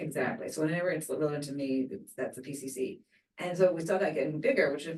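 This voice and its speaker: At a very fast pace, a woman speaks with a fairly low pitch. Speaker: neuroscience researcher. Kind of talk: interview.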